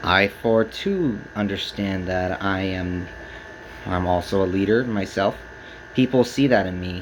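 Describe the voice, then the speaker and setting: Fairly slow speech with ordinary pitch variation and noticeable background noise. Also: man, fairly low pitch for a man. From Texas, San Antonio. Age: 20s. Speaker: speaker giving a personal talk. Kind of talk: prepared speech to camera. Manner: halting.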